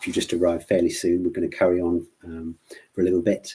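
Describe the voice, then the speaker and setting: With an English Midlands accent, a man talks at a fairly quick pace. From English Midlands (Worcestershire). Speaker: plant doctor, gardening expert. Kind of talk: live Q&A stream. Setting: live online stream. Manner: hesitant, many fillers and repetitions.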